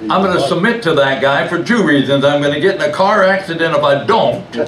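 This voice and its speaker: With audible room echo and light background noise, a man speaks at a moderate pace in a high voice. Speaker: preacher. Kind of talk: sermon. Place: church.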